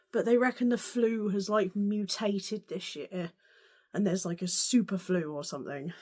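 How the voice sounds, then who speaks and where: This woman's pitch sits fairly high. She speaks with an English accent. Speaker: sewing vlogger. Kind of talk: casual vlog.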